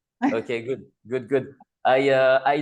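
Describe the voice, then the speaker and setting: In a French accent, a man talks at a fairly high pitch. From France. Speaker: psychologist and discussion group co-host. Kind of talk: casual online group discussion. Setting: video call. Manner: halting, many fillers.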